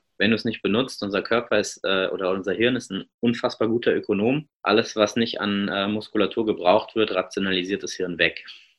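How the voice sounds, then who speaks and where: An ordinary speaking voice moves at a fairly quick pace with fairly even intonation and hardly any pauses. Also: man, fairly low pitch for a man. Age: 30s. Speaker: obstacle racer and running coach. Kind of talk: casual interview.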